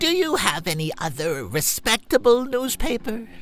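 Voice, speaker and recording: In a put-on character voice, the speaker uses a fairly high pitch with very wide pitch swings at a moderate pace, over clear background noise. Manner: cranky, indignant.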